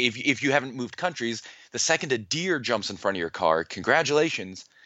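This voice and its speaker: Speaking fairly quickly with vocal fry, a man with an American accent sits at medium pitch but swings it very widely. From United States. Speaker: neuroscientist and author. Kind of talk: interview.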